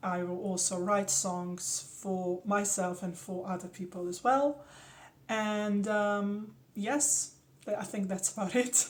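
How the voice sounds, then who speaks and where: Speaking at a very slow pace with a Slovenian accent, a woman is heard over noticeable background noise. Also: medium pitch for a woman, ordinary pitch variation. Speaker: actress. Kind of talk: self-introduction.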